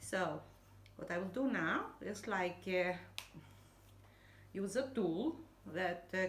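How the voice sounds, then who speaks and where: A woman's fairly low voice at a very slow pace with lively intonation, amid noticeable background noise and audible room echo. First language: not English. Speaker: hobby crafter. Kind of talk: tutorial. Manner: halting, many fillers and repetitions.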